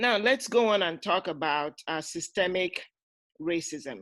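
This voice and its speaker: Speaking at a moderate pace, a woman uses lively intonation and a fairly low pitch. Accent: non-native. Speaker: talk show host. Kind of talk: panel discussion.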